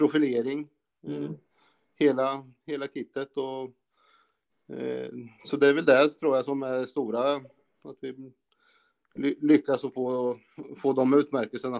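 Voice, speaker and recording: A man's medium-pitched voice, flat and monotone, at a fairly slow pace with long, frequent pauses, in dry, close sound without echo. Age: 40s. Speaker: car repair shop owner. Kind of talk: casual interview.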